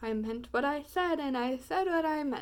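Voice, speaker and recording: This woman uses a put-on character voice at a high pitch. She speaks at a moderate pace. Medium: read story. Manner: earnest, determined.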